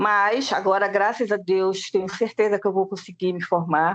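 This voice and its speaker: This woman has an unremarkable speaking voice at medium pitch. Her intonation is fairly even and her pace moderate. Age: 60s. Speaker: student teacher. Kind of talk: testimony.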